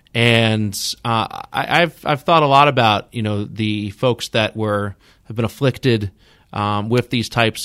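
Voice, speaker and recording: Here, a man speaks in a plain, everyday voice at a medium pitch and a moderate pace. The recording is very clean, with a silent background. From New York area. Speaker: podcast host. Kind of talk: interview.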